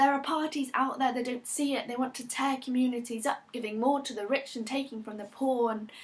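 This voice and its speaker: With a British accent, a woman speaks at a fairly quick pace in a high pitch, her intonation fairly even over noticeable background noise. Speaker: performance poet. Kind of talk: performance poetry.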